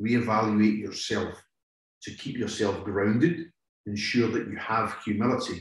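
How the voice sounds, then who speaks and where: A man speaks with a Scottish accent at a fairly slow pace. His voice is somewhat breathy and sits at medium pitch. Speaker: police negotiator. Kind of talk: interview.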